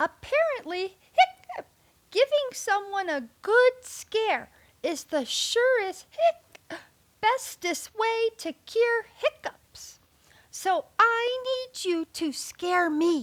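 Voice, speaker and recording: A woman puts on a squeaky character voice at an extremely high pitch, speaking at a very slow pace. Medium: read story. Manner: interrupted by hiccups.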